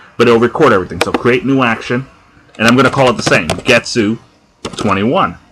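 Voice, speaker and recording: In a New Jersey accent, the speaker moves at a moderate pace with ordinary pitch variation. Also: man. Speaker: tutorial maker. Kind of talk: software tutorial. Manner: casual, conversational.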